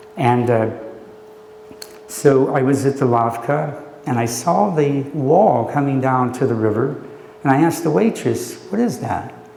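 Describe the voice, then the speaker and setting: A man talks at medium pitch and a fairly slow pace, with ordinary pitch variation and long, frequent pauses. Noticeable background noise and audible room echo are present. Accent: American. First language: Slovak. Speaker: poet and professor. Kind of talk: poetry reading and talk. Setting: library event with audience. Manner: hesitant with many fillers.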